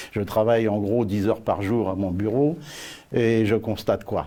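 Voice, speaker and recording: Recorded very cleanly over a silent background, a man of medium pitch speaks at a fairly slow pace in a dark, mellow tone. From Paris region, France. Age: 70s. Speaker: parliamentary candidate. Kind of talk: interview. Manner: hesitant, many fillers.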